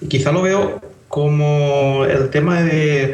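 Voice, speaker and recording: Noticeable background noise can be heard. Over it, a man speaks with fairly even intonation. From Valencia, Spain. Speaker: app developer. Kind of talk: casual chat.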